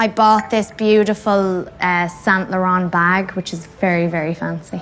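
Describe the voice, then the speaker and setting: Fairly slow and fairly even in intonation, a woman at medium pitch with a strong Irish accent. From Ireland. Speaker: actress. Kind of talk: interview answer. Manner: cheerful.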